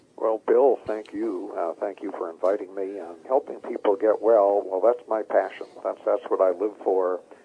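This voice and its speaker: The speech runs with hardly any pauses. Background noise is noticeable. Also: man, moderate pace. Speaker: health author. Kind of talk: interview.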